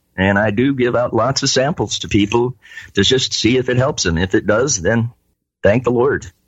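Somewhat breathy, a man's medium-pitched voice with ordinary pitch variation, very even loudness and a moderate pace. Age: 60s. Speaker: cannabis grower and testing business owner. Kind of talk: interview. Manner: halting, many fillers.

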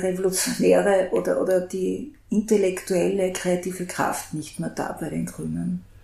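Audible room echo surrounds a woman speaking at a medium pitch and a fairly slow pace. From Graz, Austria. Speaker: journalist, podcast host. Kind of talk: interview. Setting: back room of a coffee house.

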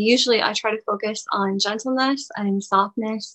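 With a plain, everyday voice, a woman talks at a medium pitch, varying it in an ordinary way. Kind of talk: poetry reading, clipped rhythmic verse.

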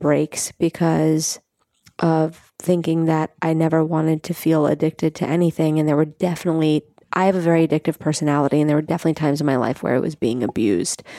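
With an American accent, a woman with a very deep, low, dark, mellow voice speaks at a fairly quick pace and very even loudness, recorded dry and close with no echo, very clean against a silent background. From New York City (Staten Island). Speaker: nutrition and wellness coach. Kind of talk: interview.

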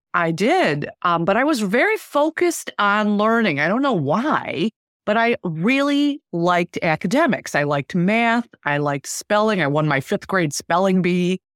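A woman with an American accent speaks at a medium pitch with very wide pitch swings, very even loudness and hardly any pauses. The recording is very clean with a silent background. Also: moderate pace, dry, close sound with no echo. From Detroit, Michigan. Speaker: real estate manager. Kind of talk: interview.

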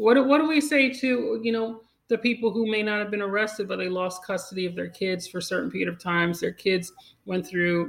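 A woman speaks at a fairly quick pace in an unremarkable speaking voice. Her intonation is lively. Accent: American. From Long Island, New York. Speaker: cannabis attorney and podcast host. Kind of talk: interview.

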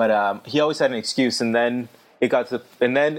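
A man with a normal speaking voice talks at a medium pitch and a fairly quick pace. The background is quiet. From Massachusetts. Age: 20s. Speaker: litigant in podcast case. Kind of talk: casual chat.

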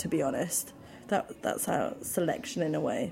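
A woman in a British accent, speaking at a moderate pace. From London, England. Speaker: food event founder. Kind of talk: casual interview chat.

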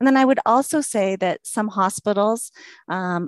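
With an American accent, a woman talks at a moderate pace in a normal speaking voice with ordinary pitch variation. The sound is dry and close with no echo, over a quiet background. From Washington state, US. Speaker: rheumatology nurse practitioner. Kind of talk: interview.

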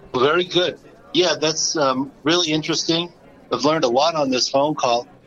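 A man talks at a moderate pace with ordinary pitch variation. His is an unremarkable speaking voice. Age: 60s. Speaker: podcast host and accountant. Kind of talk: casual chat. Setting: phone call.

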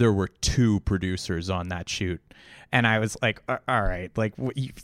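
Dry and close with no echo, a man talks at a fairly quick pace with ordinary pitch variation, a plain, everyday voice. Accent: Canadian. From Toronto, Canada. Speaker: video producer and podcast co-host. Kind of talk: casual interview chat. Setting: remote video call.

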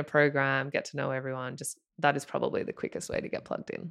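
With an Australian accent, a woman talks at a fairly quick pace. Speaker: former pro athlete and venture partner. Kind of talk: casual interview.

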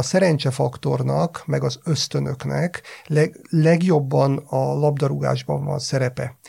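At a very slow pace, a man talks with a dark, mellow tone, a fairly high pitch and a somewhat breathy quality. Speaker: sports psychologist. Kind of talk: podcast discussion. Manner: halting.

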